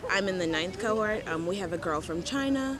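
A woman speaks at a medium pitch with lively intonation. Room echo is audible, and background noise is noticeable. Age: 20s. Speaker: singer-songwriter. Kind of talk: casual chat. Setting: outdoors.

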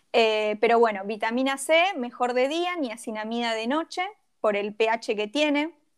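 A woman talks fairly slowly with ordinary pitch variation, on a very clean recording with a silent background. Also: fairly high pitch for a woman. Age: 30s. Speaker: graphic designer and skincare influencer. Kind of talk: casual interview chat.

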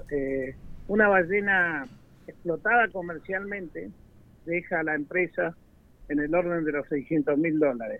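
Here a man with a high-pitched voice speaks at a fairly slow pace, showing ordinary pitch variation and long, frequent pauses. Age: 60s. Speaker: provincial tourism minister. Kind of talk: radio interview.

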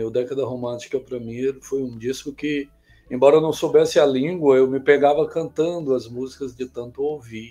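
A man speaks with a dark, mellow tone at a moderate pace. His pitch sits in the medium range, and his intonation stays fairly even. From Bom Jardim, Brazil. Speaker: musician and composer. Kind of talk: interview.

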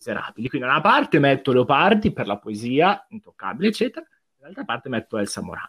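A man talking at a very fast pace with very wide pitch swings. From Como, Lombardy, Italy. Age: 20s. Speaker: literature student. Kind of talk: casual chat.

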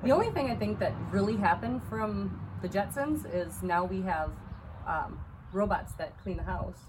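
Noticeable background noise and audible room echo are present. A woman with an American accent speaks at a moderate pace. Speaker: podcast co-host. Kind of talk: casual chat.

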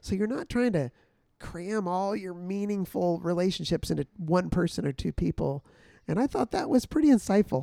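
Here a man speaks at a high pitch with lively intonation and a moderate pace. The sound is dry and close, with no echo. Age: 50s. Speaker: missionary and podcast co-host. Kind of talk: casual chat. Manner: loud.

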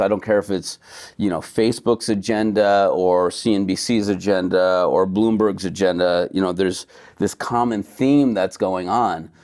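A man with an American accent speaks in a normal speaking voice, his pitch fairly low and his intonation fairly even, at a moderate pace. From United States. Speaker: beverage company co-founder, former chiropractor. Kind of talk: casual interview.

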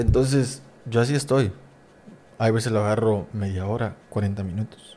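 A man speaks in a normal speaking voice at a medium pitch. His intonation is fairly even and his pace moderate. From Mexico, Coatzacoalcos, Veracruz. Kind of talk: casual interview chat.

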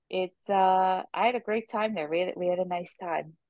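A woman speaks at a fairly low pitch. Hers is an unremarkable speaking voice. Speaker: live events executive. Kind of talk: casual chat.

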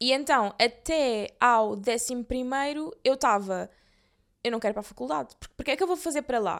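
A high-pitched woman's voice with lively intonation and big swings in loudness, in a very clean recording with a silent background. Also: fairly quick pace. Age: 20s. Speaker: podcast co-host. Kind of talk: casual chat.

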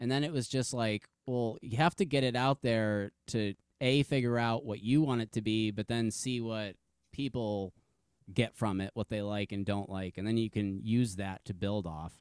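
With a normal speaking voice, the speaker goes at a moderate pace with ordinary pitch variation in a very clean recording that has a silent background and a dry, close sound with no echo. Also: man, medium pitch for a man. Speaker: podcast host. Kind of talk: casual interview chat.

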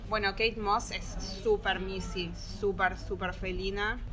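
There is noticeable background noise and audible room echo. A woman speaks at a fairly slow pace. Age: 30s. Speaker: interviewee, cat lover. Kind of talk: casual interview. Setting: café.

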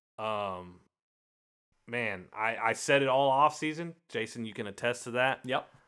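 A man speaks at medium pitch with ordinary pitch variation and a bright, sharp tone. The recording is very clean, with a silent background. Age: 30s. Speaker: football fan. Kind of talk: casual chat.

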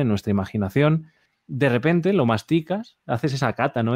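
Dark, mellow tone with lively intonation at a moderate pace, dry and close with no echo, on a very clean recording with a silent background. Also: man. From Spain. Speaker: interviewer, music teacher. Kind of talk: interview.

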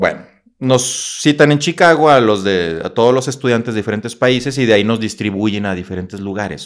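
A man with an ordinary speaking voice talks at a fairly quick pace, his medium-pitched delivery full of lively intonation. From northern Mexico, Coahuila. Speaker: motivational speaker and psychologist. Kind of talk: casual interview storytelling.

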